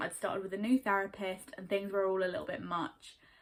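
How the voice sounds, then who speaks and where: The speech comes at a very fast pace. It is delivered in a southern English accent. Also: woman. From Surrey, England. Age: 20s. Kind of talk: casual talk to camera.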